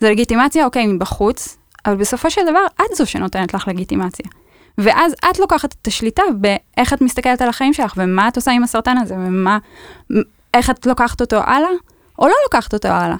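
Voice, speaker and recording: Fairly quick speech from a woman at a high pitch with very wide pitch swings, in a dry, close sound with no echo. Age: 30s. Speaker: cancer survivor. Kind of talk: casual podcast interview. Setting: studio.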